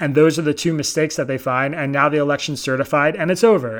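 A man with an American accent and a fairly high pitch speaks with ordinary pitch variation on a very clean recording with a silent background. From Pennsylvania (Bucks County), US. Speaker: political reporter and newsletter founder. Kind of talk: interview.

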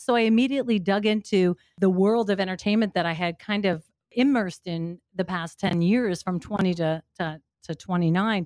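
Speaking at a fairly quick pace, a woman has a plain, everyday voice. Her pitch is medium, with ordinary pitch variation. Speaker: radio host and audiobook narrator. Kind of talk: casual interview.

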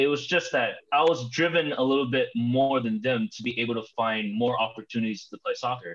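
Here is a man with an unremarkable speaking voice at a medium pitch. He talks at a fairly quick pace with ordinary pitch variation. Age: young. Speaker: amateur soccer player. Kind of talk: casual interview.

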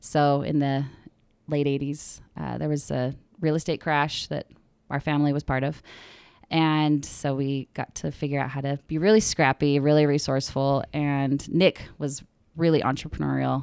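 A woman with an American accent speaks at a moderate pace in a very deep, low pitch and a monotone, flat delivery, recorded very cleanly against a silent background. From Arizona. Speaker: social media marketing consultant. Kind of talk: casual chat. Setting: studio.

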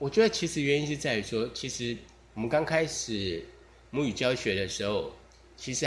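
Pitched fairly high, the man's voice swings very widely up and down. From Taiwan. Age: 40s. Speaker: podcaster. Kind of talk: casual monologue. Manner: relaxed.

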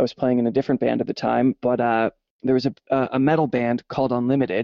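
A man with a Canadian accent, medium-pitched, at a fairly quick pace, an ordinary speaking voice. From Canada. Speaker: musician and sound engineer. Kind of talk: casual chat.

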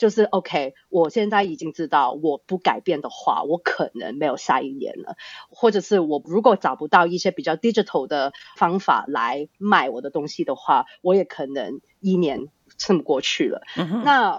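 A woman's fairly low voice at a moderate pace, with very wide pitch swings. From Australia (born Hong Kong). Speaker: startup founder and CEO. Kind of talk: interview. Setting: remote online recording.

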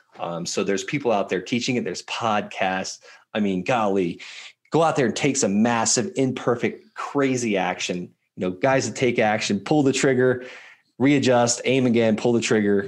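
A normal speaking voice from a man, medium in pitch, with ordinary pitch variation and a moderate pace. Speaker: army veteran and land investor. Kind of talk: interview.

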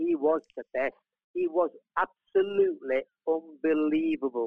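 Very wide pitch swings from a male speaker. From England, Manchester (born in Italy). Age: 70s. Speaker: retired footballer. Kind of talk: interview.

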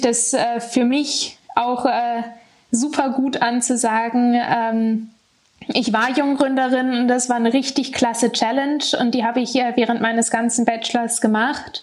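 A high-pitched woman talks at a fairly slow pace with monotone, flat intonation. Her loudness stays very even over noticeable background noise. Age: 20s. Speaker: former young startup founder and student. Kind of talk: interview.

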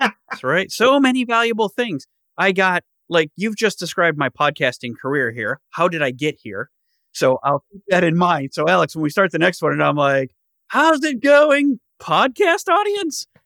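On a very clean recording with a silent background and a dry, close sound with no echo, a man with a bright, sharp, high voice speaks at a moderate pace with very wide pitch swings. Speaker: podcast co-host. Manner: joking, playful.

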